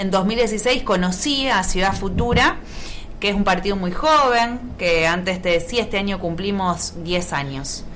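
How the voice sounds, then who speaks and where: A woman with a Rioplatense accent, amid noticeable background noise and audible room echo. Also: medium pitch for a woman, lively intonation, fairly slow pace. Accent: Argentine Rioplatense Spanish. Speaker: politician. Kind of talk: radio interview.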